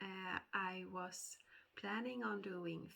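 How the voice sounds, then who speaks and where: A woman's medium-pitched voice with a bright, sharp tone and vocal fry. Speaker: cross-stitch vlogger. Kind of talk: casual chat. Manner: hesitant with fillers.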